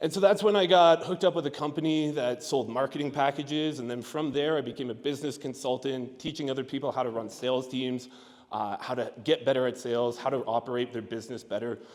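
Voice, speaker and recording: A man's medium-pitched voice at a very fast pace, with ordinary pitch variation and hardly any pauses. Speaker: sales consultant. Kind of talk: conference talk. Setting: stage with audience. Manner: animated.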